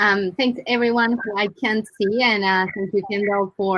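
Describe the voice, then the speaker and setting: A woman speaks at a moderate pace with an Argentine accent. Her voice sits at medium pitch with fairly even intonation. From Argentina. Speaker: brand marketing director. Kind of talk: panel discussion.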